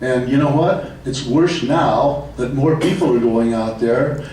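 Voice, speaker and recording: Noticeable background noise and audible room echo fill the recording. A man speaks at a medium pitch and a fairly slow pace, with ordinary pitch variation. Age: 70s. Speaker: public commenter at city council meeting. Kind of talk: public comment speech. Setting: city council meeting.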